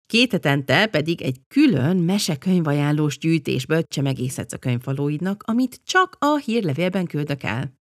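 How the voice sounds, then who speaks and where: Speaking at a moderate pace with hardly any pauses, a woman uses a very deep, low pitch, lively intonation and an animated tone. The sound is dry and close, with no echo. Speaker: podcast host. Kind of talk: scripted narration.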